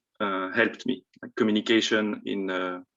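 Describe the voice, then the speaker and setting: A man speaks in a French accent. His voice is fairly low, and his intonation is monotone and flat. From France. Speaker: panelist, former international student. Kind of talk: panel talk. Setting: video call.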